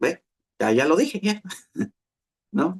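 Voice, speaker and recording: Sound is dry and close, without any echo. Delivery comes at a moderate pace. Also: man. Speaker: pastor. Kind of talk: sermon.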